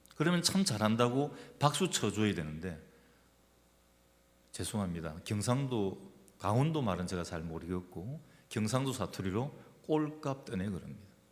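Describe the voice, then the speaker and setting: Speaking at a moderate pace with long, frequent pauses, a man with a fairly low pitch swings very widely in pitch amid audible room echo. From Gyeongsang region, South Korea. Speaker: pastor. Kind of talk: sermon. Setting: church.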